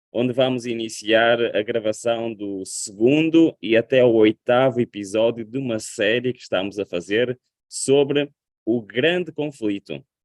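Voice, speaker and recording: A man speaks in a European Portuguese accent. His medium-pitched voice moves at a fairly slow pace. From Portugal. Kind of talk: sermon.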